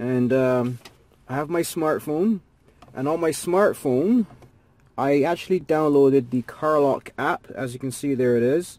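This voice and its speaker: At a fairly slow pace, a man with a dark, mellow tone speaks with ordinary pitch variation in a dry sound with no echo. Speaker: gadget reviewer. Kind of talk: tutorial. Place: car. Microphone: phone near.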